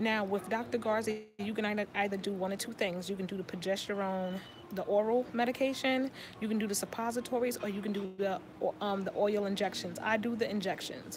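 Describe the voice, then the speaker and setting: Over noticeable background noise, a woman talks at a fairly quick pace and a medium pitch with fairly even intonation. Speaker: vlogger sharing IVF journey. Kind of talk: casual vlog update. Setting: in a bookstore. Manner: fast.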